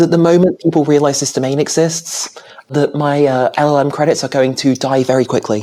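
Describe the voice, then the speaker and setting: Over noticeable background noise, a woman with a very deep, low pitch talks at a fairly quick pace with a British accent. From Britain. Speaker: software engineer. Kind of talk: casual chat.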